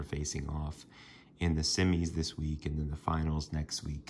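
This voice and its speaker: A man's very deep, low voice at a moderate pace over light background noise. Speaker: sports card collector. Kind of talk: casual talk to camera. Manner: monotone, downtrodden. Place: home room. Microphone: phone near.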